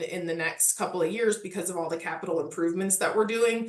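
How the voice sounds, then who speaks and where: Here is a woman with a Midwestern accent. Her pitch sits in the medium range and varies in an ordinary way. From US Midwest. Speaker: parks historic resources manager. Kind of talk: casual interview.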